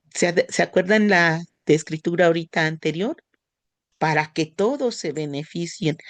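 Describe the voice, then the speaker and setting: A woman with a fairly low pitch and ordinary pitch variation talks at a moderate pace, in a dry, close sound with no echo. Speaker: church class teacher. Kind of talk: religious class lesson.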